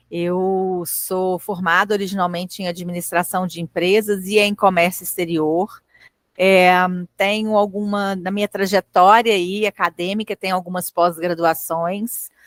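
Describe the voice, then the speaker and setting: At a fairly slow pace, a woman with a strong Minas Gerais accent speaks at medium pitch, the sound dry and close with no echo. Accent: strong singsong mineiro. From Minas Gerais, Brazil (Belo Horizonte). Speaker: lecturer. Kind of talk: lecture. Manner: conversational, hesitant fillers.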